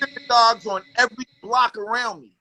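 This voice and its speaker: At an extremely high pitch, a man projects a raised voice with an animated, bright, sharp tone, recorded dry and close with no echo. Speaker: guest on hip-hop talk show. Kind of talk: casual chat.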